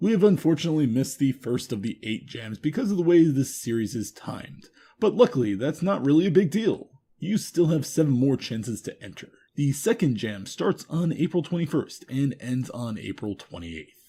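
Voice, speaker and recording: A man's fairly high, somewhat breathy voice with a dark, mellow tone, very wide pitch swings, big swings in loudness, and a fairly quick pace. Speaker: news show host. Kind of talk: news reading.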